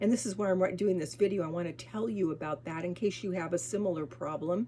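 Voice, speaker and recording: Over noticeable background noise, a woman with an American accent speaks in a fairly low voice with lively intonation. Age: 70s. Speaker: lifestyle vlogger. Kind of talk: casual vlog talk. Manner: halting, many restarts and fillers.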